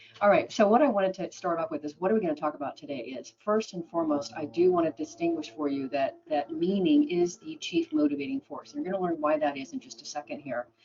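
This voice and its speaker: Over noticeable background noise, a woman with an American accent talks very fast at a fairly low pitch, her pitch swinging very widely and her loudness in big swings, with hardly any pauses. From Oregon, US. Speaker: business speaker and radio host. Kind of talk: webinar presentation.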